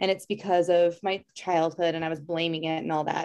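Against a quiet background, a woman with a normal speaking voice talks fairly quickly at a fairly low pitch. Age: 30s. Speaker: yoga instructor and self-love coach. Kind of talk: casual interview conversation.

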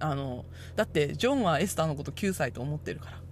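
A woman's somewhat breathy voice at a very fast pace. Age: 30s. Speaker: podcast host. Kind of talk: solo podcast talk.

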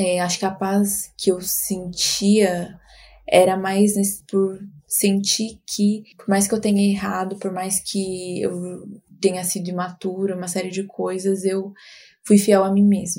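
In a very clean recording with a silent background, a woman speaks at a very slow pace. Her voice is somewhat breathy and dark and mellow, with monotone, flat intonation. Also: medium pitch for a woman. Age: 20s. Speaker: marketing professional, host's sister. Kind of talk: casual interview.

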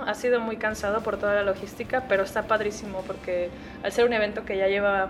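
A woman talks at a medium pitch, her voice carrying audible room echo. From Guadalajara, Mexico. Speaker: recruiter and event organizer. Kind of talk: interview. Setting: at a conference.

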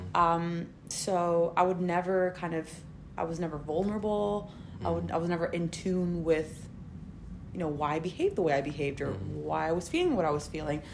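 A woman with an American accent, fairly low-pitched and fairly even in intonation, at a fairly quick pace amid audible room echo. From Spain. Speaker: guest. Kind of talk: casual chat.

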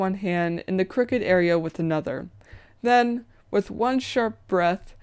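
This is plain reading aloud. The pitch variation is ordinary.

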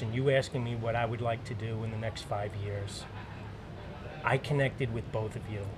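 Music plays in the background as a man with an American accent speaks at medium pitch and a moderate pace, with ordinary pitch variation and audible room echo. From Long Island, New York. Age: 50s. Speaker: firefighter and woodworker. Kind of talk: casual interview chat. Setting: recorded at maker camp event.

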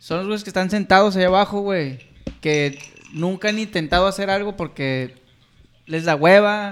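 Pausing long and often, a man with a high pitch talks at a moderate pace with ordinary pitch variation. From Puerto Vallarta, Mexico. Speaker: podcast co-host. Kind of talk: casual chat.

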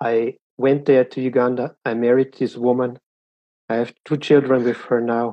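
With a German accent, a man speaks at a moderate pace in a monotone, flat intonation. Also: medium pitch for a man. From Austria. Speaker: student, podcaster. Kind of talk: interview. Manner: halting, searching for words.

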